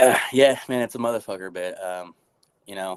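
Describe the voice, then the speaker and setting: A man speaks with fairly even intonation. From Texas, Arlington. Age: 20s. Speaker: podcast guest, warehouse worker. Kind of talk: casual interview chat, personal story.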